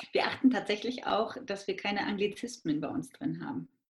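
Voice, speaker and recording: In an ordinary speaking voice, someone talks at a moderate pace with lively intonation. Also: woman. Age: 30s. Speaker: midwife and entrepreneur. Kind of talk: interview.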